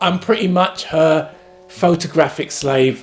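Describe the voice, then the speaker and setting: Against noticeable background noise, a man in a London accent speaks at a fairly slow pace and a fairly high pitch. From London, England. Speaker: actor and family YouTuber. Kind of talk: casual family vlog introduction. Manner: animated.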